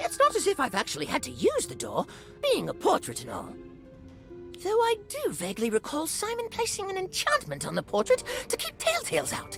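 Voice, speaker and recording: The speaker uses a put-on character voice at a fairly quick pace. Clear music plays in the background. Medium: game stream. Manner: cheerful, rambling.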